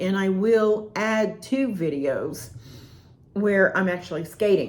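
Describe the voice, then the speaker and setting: The pace is very slow as a woman speaks. Her pitch is medium with ordinary pitch variation. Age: 60s. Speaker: roller skating hobbyist reviewer. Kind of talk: product review. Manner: casual, rambling with hesitations.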